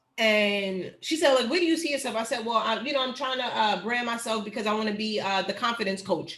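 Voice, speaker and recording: Over noticeable background noise, a woman with a fairly high pitch speaks in an animated tone at a fairly quick pace, hardly pausing, with ordinary pitch variation. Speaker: teacher educator. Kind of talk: online workshop. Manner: fast.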